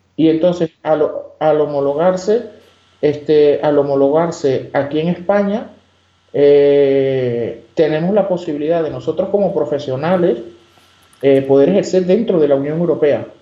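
With ordinary pitch variation, a man talks at a fairly slow pace and fairly high pitch. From Venezuela, Margarita Island. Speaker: immigration lawyer. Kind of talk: interview. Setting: phone call. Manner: halting, many fillers.

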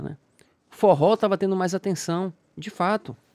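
A man's moderately paced speech, recorded dry and close with no echo. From Salvador, Bahia, Brazil. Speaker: podcast host. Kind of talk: casual interview chat.

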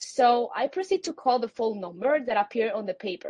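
A woman speaks with a Spanish accent. Her pitch is fairly high. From Puerto Rico. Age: young. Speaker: student conservationist. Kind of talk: panel discussion. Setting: virtual event.

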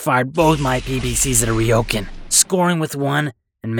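An unforced reading voice with lively intonation, over a quiet background.

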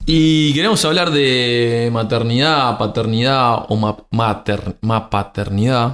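A speaker with a Uruguayan accent talks at a fairly slow pace with ordinary pitch variation. The recording is very clean, with a silent background. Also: man. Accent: Uruguayan Spanish (rioplatense). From Uruguay, rural Montevideo. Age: 40s. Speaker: podcast co-host, systems engineer. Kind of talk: casual chat.

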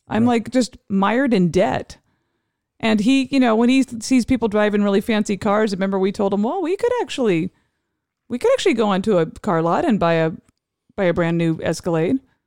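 In a normal speaking voice, a woman talks at a fairly quick pace with fairly high pitch, ordinary pitch variation and very even loudness, the sound dry and close with no echo. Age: 50s. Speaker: high school teacher. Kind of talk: casual chat; reading aloud.

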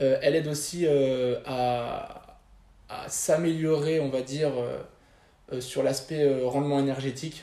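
Here a man talks at a very slow pace with a fairly high pitch. His delivery is monotone and flat. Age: 20s. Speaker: fitness coach. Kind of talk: interview. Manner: halting.

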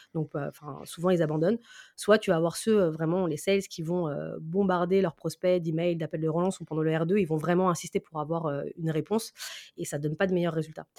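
Dark and mellow in tone, the voice moves at a fairly quick pace with a dry, close sound and no echo. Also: woman, fairly low pitch for a woman. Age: 30s. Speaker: sales professional. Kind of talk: interview.

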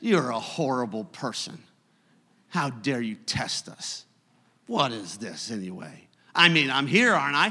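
On a very clean recording with a silent background, a man with a bright, sharp tone swings widely in pitch and loudness, leaving long, frequent pauses. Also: medium pitch for a man. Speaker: preacher. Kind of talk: sermon. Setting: church with congregation. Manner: animated, exhortative; conversational, teacherly.

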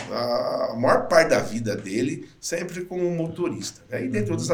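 Noticeable background noise and audible room echo surround the recording. A man speaks at a fairly slow pace with lively intonation. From interior of São Paulo state, Brazil. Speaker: sales trainer and speaker. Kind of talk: casual interview.

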